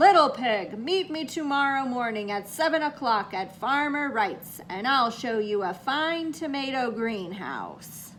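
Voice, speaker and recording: A woman growls in a put-on character voice with a high pitch. She speaks at a fairly slow pace with hardly any pauses, over clear background noise. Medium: read story. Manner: growling.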